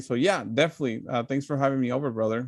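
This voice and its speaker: A very fast-talking, medium-pitched man with a Spanish accent. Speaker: political commentator. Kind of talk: casual chat. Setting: live stream.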